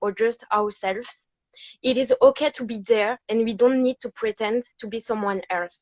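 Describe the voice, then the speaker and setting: With a dry, close sound and no echo, a woman speaks at a moderate pace in a fairly high pitch. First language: not English. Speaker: fan. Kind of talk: reading aloud.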